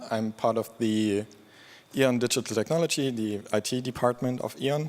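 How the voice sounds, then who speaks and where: A man with a normal speaking voice, medium pitch, moderate pace and ordinary pitch variation. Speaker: open source program lead. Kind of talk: conference talk.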